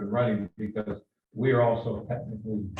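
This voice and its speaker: A man at a fairly quick pace, somewhat breathy. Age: 70s. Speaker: board chairman. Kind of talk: public meeting. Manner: halting.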